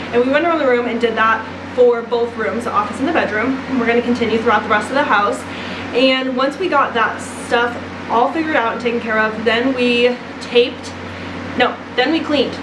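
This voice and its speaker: A woman talks at a fairly quick pace and a high pitch in an animated tone. Audible room echo and noticeable background noise fill the recording. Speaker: home renovation vlogger. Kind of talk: casual vlog talk. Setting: house under renovation. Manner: loud.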